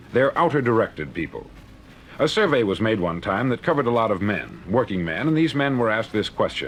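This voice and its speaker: Speaking at a fairly quick pace with very wide pitch swings, the voice sits over noticeable background noise. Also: man. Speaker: motivational speaker. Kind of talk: motivational spoken word record.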